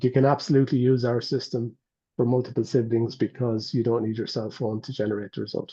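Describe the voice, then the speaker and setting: Somewhat breathy and dark, mellow in tone, a man speaks at a very fast pace with fairly even intonation. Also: medium pitch for a man. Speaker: medical device company representative. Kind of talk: webinar Q&A panel.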